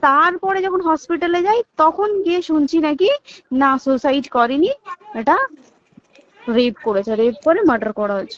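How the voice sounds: In a dry, close sound with no echo, a woman speaks at a moderate pace with a high pitch and ordinary pitch variation.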